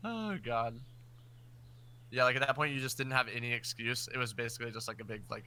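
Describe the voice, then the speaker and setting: His bright, sharp voice at a medium pitch moves fairly quickly with fairly even intonation, though the man leaves long, frequent pauses. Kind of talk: casual chat. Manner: halting.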